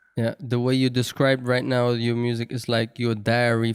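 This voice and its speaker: Speaking in a non-native accent, a man uses a medium pitch at a moderate pace, with a dry, close sound and no echo. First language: not English. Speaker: podcast host. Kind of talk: casual interview.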